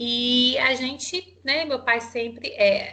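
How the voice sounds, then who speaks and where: This woman speaks in a Minas Gerais accent. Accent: Minas Gerais accent, noticeable. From Minas Gerais interior (Mutum), Brazil. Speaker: psychologist and HR consultant. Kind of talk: interview. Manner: halting, many fillers.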